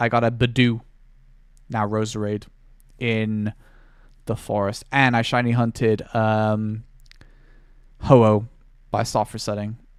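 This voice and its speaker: In a very clean recording with a silent background, a man with a British accent speaks in a flat monotone, leaving long, frequent pauses. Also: medium pitch for a man, fairly slow pace. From Britain. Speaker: streamer. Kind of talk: casual chat.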